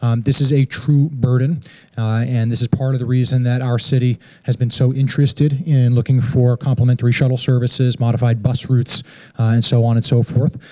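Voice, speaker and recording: A man's somewhat breathy, monotone voice with flat intonation and very even loudness, at a fairly quick pace over a quiet background. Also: medium pitch for a man. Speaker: city transportation director. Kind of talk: public meeting moderation. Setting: community meeting with audience. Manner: informal, friendly. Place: hall. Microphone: handheld.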